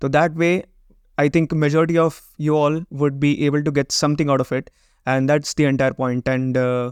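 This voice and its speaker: A man with a Gujarati accent talks fairly quickly at a fairly high pitch, in a monotone, flat intonation and at very even loudness. The sound is dry and close with no echo, and the background is quiet. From Gujarat, India. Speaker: web design and SEO agency owner, YouTuber. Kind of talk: vlog intro monologue, mixed Hindi and English.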